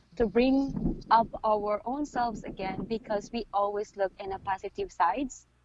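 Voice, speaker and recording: A fairly slow pace in a Filipino accent. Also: woman. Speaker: midwife. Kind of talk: interview.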